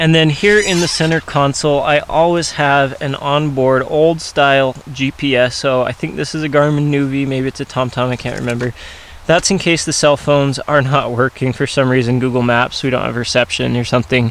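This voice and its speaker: A man's voice with fairly even intonation, dry and echo-free, over light background noise. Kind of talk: tutorial. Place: car. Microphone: phone near.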